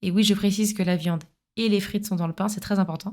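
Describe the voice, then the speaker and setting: A woman's medium-pitched, monotone, flat voice comes through a very clean recording with a silent background. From France, Paris suburbs (Essonne). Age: 30s. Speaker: podcast host. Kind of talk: scripted narration.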